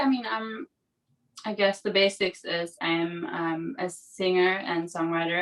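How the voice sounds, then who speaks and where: There is music in the background. Over it, a woman talks. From Germany, Greek family. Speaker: singer-songwriter. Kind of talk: casual chat.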